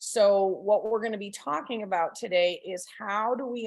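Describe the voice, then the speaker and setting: A plain, everyday voice. This woman talks at a fairly slow pace, with a fairly high pitch and ordinary pitch variation. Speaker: parent trainer. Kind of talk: lecture.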